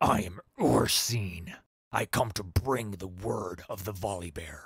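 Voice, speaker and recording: A man's put-on character voice, growling at a fairly slow pace with a very deep, low pitch. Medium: read story. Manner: flat, detached, contemptuous.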